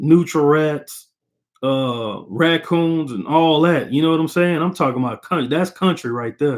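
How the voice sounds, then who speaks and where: Speaking at a fairly slow pace with an American accent, a man has a plain, everyday voice, a fairly high pitch, and ordinary pitch variation. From Texas. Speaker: boxing commentator. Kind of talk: casual fight analysis monologue. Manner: casual, conversational.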